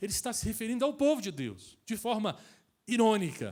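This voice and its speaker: A man's high voice with very wide pitch swings, a fairly quick pace, and a very clean recording over a silent background. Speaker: pastor. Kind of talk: sermon.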